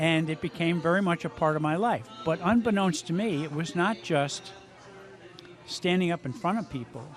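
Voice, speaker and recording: Over music in the background, a man with a high pitch speaks at a moderate pace with ordinary pitch variation. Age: 60s. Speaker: amateur musician. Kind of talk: interview. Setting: live music venue.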